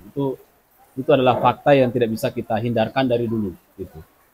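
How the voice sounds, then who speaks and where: The man's voice moves with ordinary pitch variation. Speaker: international relations expert. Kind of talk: panel discussion. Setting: live event with audience. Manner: hesitant, many fillers.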